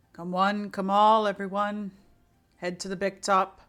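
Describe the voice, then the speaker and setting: A put-on character voice at a middle pitch, moderate in pace, with flat, monotone intonation. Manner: calling out loudly to a crowd.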